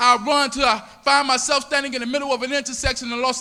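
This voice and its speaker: In a raised, projected voice, a man with an American accent speaks at an extremely high pitch and a very fast pace, his intonation monotone and flat. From US South, Miami, Florida. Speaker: spoken word poet. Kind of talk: spoken word poetry performance. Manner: rhythmic, dramatic delivery.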